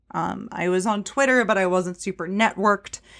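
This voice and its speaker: On a very clean recording with a silent background, a woman speaks in an unremarkable speaking voice at medium pitch with fairly even intonation. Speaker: personal finance podcaster and real estate investor. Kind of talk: casual interview chat.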